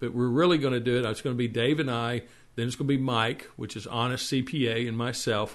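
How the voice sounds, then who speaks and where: A man in a Texas accent at a medium pitch, with fairly even intonation over a quiet background. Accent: Texas drawl. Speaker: web TV show host. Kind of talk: casual show intro. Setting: live internet stream. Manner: halting, many fillers and repeats.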